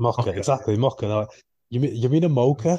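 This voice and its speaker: With a northern English accent, a man talks at a very fast pace and medium pitch, with ordinary pitch variation. His tone is dark, mellow and somewhat breathy, over a quiet background. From northern England. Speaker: podcast co-host. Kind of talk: casual chat. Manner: animated.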